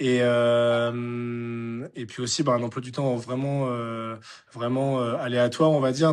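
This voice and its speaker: The speaker is a man with a medium-pitched voice. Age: 20s. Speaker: farmer and amateur triathlete. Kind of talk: interview. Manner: halting, many fillers.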